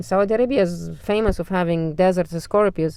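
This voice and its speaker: A woman speaks at a moderate pace and medium pitch with ordinary pitch variation, in a normal speaking voice. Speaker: storyteller. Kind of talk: casual storytelling. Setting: in a car.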